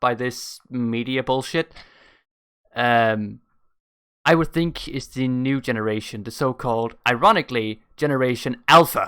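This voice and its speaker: Speaking with a Danish accent, a man uses a bright, sharp tone at a medium pitch with ordinary pitch variation, recorded very cleanly against a silent background. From Denmark. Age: 20s. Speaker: YouTube reactor. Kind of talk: casual reaction commentary. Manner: animated.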